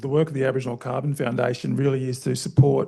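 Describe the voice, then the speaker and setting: A man speaks with an Australian accent. His tone is dark and mellow, with fairly even intonation. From Queensland, Australia. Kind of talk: panel discussion. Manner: halting, many fillers.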